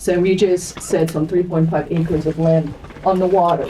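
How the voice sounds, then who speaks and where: Speech comes at a moderate pace in a monotone, flat intonation, with noticeable background noise behind it. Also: woman. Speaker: real estate sales director. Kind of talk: panel discussion. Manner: loud. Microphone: speaking without a microphone.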